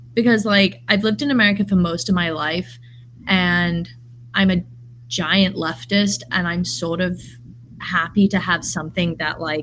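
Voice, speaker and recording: Speaking with an English accent, a woman keeps a moderate pace. Her pitch is fairly low, with ordinary variation. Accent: English accent, kept despite US upbringing. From English Midlands, raised in US. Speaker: artist and early childhood educator. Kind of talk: podcast conversation.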